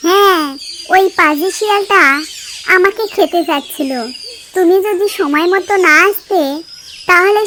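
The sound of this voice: Putting on a cartoonish character voice, a woman speaks at an extremely high pitch and a fairly slow pace.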